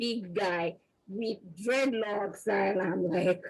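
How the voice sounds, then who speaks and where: In a Nigerian accent, a woman speaks with an animated tone. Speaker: research scientist, panelist. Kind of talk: panel discussion.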